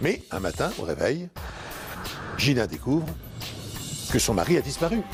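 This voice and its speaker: A man's fairly high voice with very wide pitch swings, music playing behind him. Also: moderate pace. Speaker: narrator. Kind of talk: true crime documentary narration.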